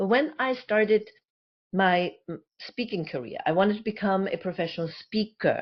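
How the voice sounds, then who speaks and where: With a German accent, a woman talks at a moderate pace, her medium pitch carried by lively intonation. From Germany. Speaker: communication coach and speaker, former actress. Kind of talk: interview.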